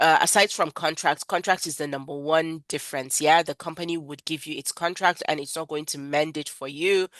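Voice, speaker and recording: A woman with a very deep, low pitch talks at a fairly quick pace with hardly any pauses and fairly even intonation. Her loudness swings widely, and the sound is dry and close with no echo over a quiet background. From Nigeria. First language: not English. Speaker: freelancing trainer. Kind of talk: webinar lecture. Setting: online webinar. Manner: conversational, with fillers.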